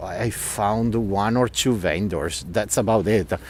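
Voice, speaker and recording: A man with an Italian accent speaks at a medium pitch. His intonation stays fairly even. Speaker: tour guide. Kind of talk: live walking tour commentary. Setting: outdoors. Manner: loud.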